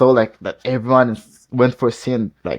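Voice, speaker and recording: Speaking with a non-native accent, a man keeps a medium pitch. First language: not English. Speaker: football YouTuber reacting to a video. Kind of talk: casual reaction commentary. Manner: halting, many restarts and fillers.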